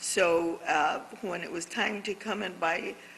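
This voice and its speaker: A woman talks with an American accent and fairly even intonation. Noticeable background noise runs under her voice. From Camarillo, California (US West Coast). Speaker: community leader. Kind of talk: interview conversation. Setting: art gallery on location.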